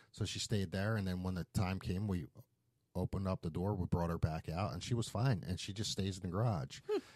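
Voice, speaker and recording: A man with a Philadelphia accent talks at a fairly quick pace. His pitch is very deep and low. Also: ordinary pitch variation, dry, close sound with no echo. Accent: Philadelphia American. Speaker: podcast host, tattoo shop owner. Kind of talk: casual chat.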